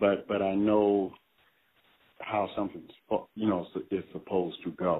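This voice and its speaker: With an American accent, a man speaks fairly slowly in a fairly low, monotone voice, leaving long, frequent pauses. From US Midwest, Cleveland, Ohio. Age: 70s. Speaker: funk band musician and musical director. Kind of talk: casual interview. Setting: phone call. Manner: halting, many fillers.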